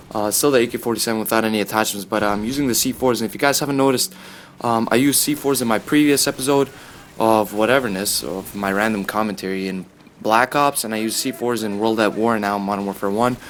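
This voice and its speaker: Noticeable background noise sits behind a man talking at a very fast pace. His pitch is medium and his intonation fairly even. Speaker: gaming and sports commentary youtuber. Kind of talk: casual commentary over gameplay. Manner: casual, filler-heavy.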